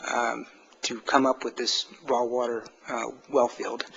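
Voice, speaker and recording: A man's voice over noticeable background noise. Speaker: appellate attorney. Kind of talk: oral argument in court. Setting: courtroom. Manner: halting, many fillers; quiet.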